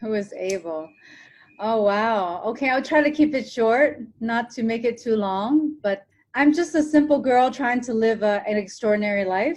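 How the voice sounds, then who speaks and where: Here is an ordinary speaking voice with an American accent and ordinary pitch variation. It keeps a moderate pace over a quiet background. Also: woman, fairly high pitch for a woman. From Hong Kong, raised in small-town Ohio from age ten. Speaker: TV presenter and motivational speaker. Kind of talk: podcast interview.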